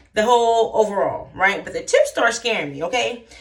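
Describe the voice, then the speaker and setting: Noticeable background noise is present. A woman talks through it. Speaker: hair vlogger. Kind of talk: casual vlog chat.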